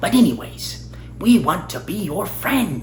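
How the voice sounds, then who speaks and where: There is clear background noise as a man performs a put-on character voice. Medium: solo performance. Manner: talkative, rambling.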